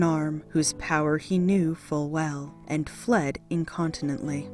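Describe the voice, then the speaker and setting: Music plays behind a woman with an American accent speaking in a calm, soothing tone. Her pace is fairly slow and her intonation lively. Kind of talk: audiobook reading of mythology.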